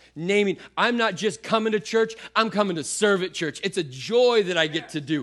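A man with a high-pitched voice talks at a moderate pace in an animated tone, with music playing behind him. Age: 30s. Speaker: pastor. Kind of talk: sermon. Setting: church with congregation.

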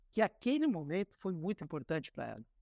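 A man speaks at a high pitch with lively intonation. The recording is very clean with a silent background, dry and close with no echo. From Paraná, Brazil (Cascavel). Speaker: communications director. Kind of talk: interview.

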